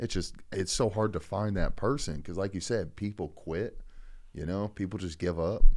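In a very clean recording with a silent background, a man speaks in an ordinary speaking voice at a fairly low pitch with ordinary pitch variation. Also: moderate pace. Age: 30s. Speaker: comedian. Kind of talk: casual chat.

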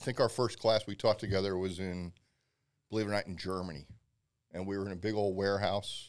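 On a very clean recording with a silent background, a man with an American accent speaks at a very fast pace with long, frequent pauses. His pitch is fairly low and his intonation monotone and flat. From Pennsylvania. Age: 50s. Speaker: barbecue pitmaster and instructor. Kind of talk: casual chat.

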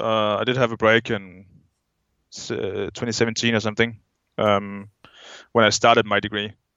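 A man's medium-pitched, monotone, flat voice with a Danish accent, at a moderate pace with long, frequent pauses. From Denmark. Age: 20s. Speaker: skydiver. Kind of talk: casual chat.

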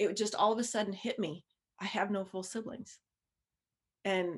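Against a quiet background, a woman talks at a moderate pace. Her intonation is fairly even. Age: 40s. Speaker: DNA test discovery guest. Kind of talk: casual interview. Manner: halting.

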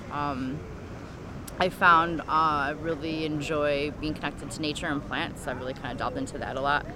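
A woman with a very deep, low pitch talks fairly quickly in a monotone, flat intonation, with audible room echo and noticeable background noise. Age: 40s. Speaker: cancer survivor and caregiver. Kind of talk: personal testimony.

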